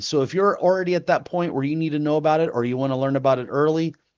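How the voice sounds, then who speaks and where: A man talks at a fairly high pitch. His pitch varies in an ordinary way. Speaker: software tutorial instructor. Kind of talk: tutorial. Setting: live stream. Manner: animated.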